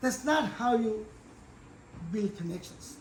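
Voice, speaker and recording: A man talks at a fairly slow pace in an extremely high pitch. Room echo can be heard around his voice. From India. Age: 80s+. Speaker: professor. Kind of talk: lecture. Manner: halting.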